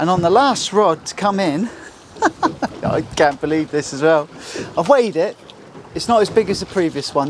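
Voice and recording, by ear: A man with lively intonation at a moderate pace, over faint background noise.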